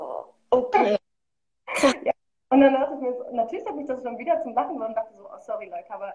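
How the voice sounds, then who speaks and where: Her pitch high and her tone dark and mellow, a woman talks at a very fast pace with lively intonation, long, frequent pauses and big swings in loudness. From Germany, Marl (North Rhine-Westphalia). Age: 20s. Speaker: filmmaker and curator. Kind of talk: casual interview.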